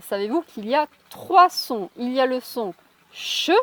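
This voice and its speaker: Very slowly, a woman speaks in a high voice with lively intonation, the sound dry and close with no echo. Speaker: English teacher. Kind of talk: language lesson narration to camera.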